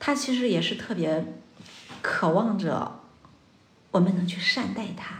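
A woman speaks at a fairly slow pace and medium pitch with ordinary pitch variation. She leaves long, frequent pauses. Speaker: psychological counselor. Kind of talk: casual chat.

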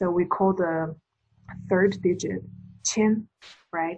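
Speaking with a Chinese accent, a woman has a medium pitch and a dark, mellow tone. She sounds somewhat breathy, with fairly even intonation. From China. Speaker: podcast co-host. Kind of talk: casual chat.

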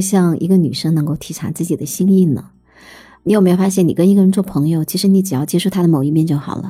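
A somewhat breathy woman's voice, dark and mellow in tone, at a very fast pace with ordinary pitch variation. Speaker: writer. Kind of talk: casual chat.

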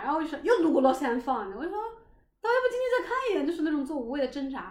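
In a room with audible echo, a woman with a high voice talks very fast, her pitch swinging very widely. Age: 20s. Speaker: podcast host. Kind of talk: casual chat.

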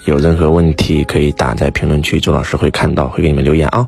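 Over noticeable background noise, a man talks at a very fast pace with ordinary pitch variation. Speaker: self-help teacher. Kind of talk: Q&A answering listener questions. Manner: animated.

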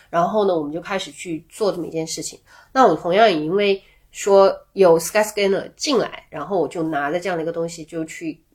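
A woman with an ordinary speaking voice talks at a fairly low pitch, with big swings in loudness. The recording is very clean, with a silent background. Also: ordinary pitch variation, fairly quick pace. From Guangxi, small town near Liuzhou. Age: 40s. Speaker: travel tech product lead. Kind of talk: casual interview chat.

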